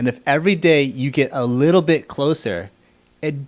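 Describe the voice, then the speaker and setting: With an American accent, a man uses a normal speaking voice at a fairly high pitch and lively intonation. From United States. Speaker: podcast host. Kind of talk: interview.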